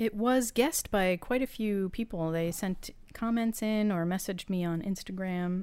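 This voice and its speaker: A voice with an American accent and a dark, mellow tone is heard on a very clean recording with a silent background. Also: woman. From Massachusetts. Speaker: podcast co-host. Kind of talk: casual chat.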